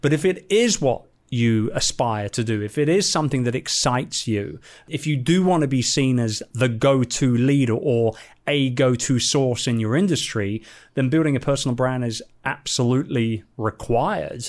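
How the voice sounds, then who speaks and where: A man's medium-pitched voice at a moderate pace with ordinary pitch variation, on a very clean recording with a silent background. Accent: London. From London, England. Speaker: entrepreneur and business coach. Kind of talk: interview. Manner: animated.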